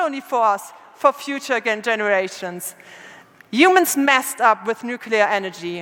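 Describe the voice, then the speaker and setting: A woman speaking with lively intonation. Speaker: conference speaker. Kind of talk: lecture. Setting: stage with audience. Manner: halting.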